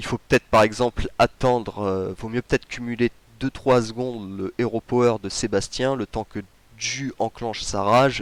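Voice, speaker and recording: The man's pitch sits at medium, and his intonation stays fairly even. The sound is dry and close, with no echo. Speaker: gaming youtuber. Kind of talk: game tutorial commentary. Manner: fast.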